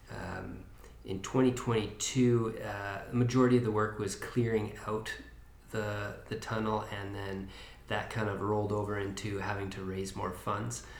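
A man's fairly low, somewhat breathy voice in a Canadian accent, monotone and flat, at a fairly slow pace, with audible room echo. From Kootenays, British Columbia. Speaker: community volunteer on tunnel restoration. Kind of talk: podcast interview.

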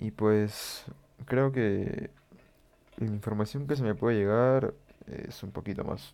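A man speaks in a dark, mellow tone. His pitch is fairly low, with ordinary pitch variation. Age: 20s. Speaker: law student, podcaster. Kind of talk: casual monologue. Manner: halting, many fillers.

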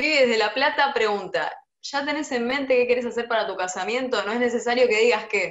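A woman with a high pitch talks at a fairly quick pace with ordinary pitch variation, and room echo is audible. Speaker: interviewer. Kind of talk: casual interview. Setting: at home, video call.

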